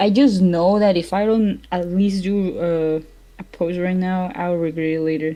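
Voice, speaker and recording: Speaking at a fairly slow pace with a Spanish accent, this voice has a dark, mellow tone and fairly even intonation. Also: woman, medium pitch for a woman. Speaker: streamer and artist. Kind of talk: casual chat while drawing.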